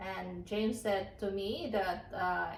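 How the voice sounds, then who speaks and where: The woman talks at a very slow pace in a Filipino accent. Room echo can be heard. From Philippines. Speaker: farmer and former teacher. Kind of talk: casual vlog talk. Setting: at home by the fireplace. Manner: halting with fillers.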